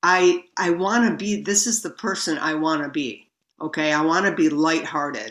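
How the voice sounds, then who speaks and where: A woman speaks with lively intonation. Her pitch is very deep and low. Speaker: recovering compulsive overeater sharing her story. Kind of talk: recovery meeting share. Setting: video call.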